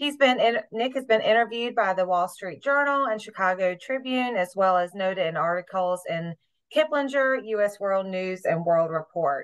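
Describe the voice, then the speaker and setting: A woman with lively intonation at a moderate pace, over a quiet background. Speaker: program manager host. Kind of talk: webinar introduction. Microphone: video call.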